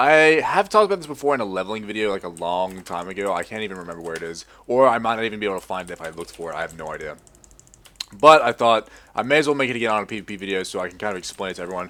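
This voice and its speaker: A man talks at a very fast pace in a fairly low pitch. His pitch varies in an ordinary way. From Australia. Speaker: gamer. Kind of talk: casual gameplay commentary.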